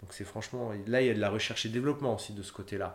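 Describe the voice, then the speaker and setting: The voice carries audible room echo. Its intonation stays fairly even. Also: man. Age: 30s. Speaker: humanitarian logistician. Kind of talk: interview. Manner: hesitant, many fillers and repetitions.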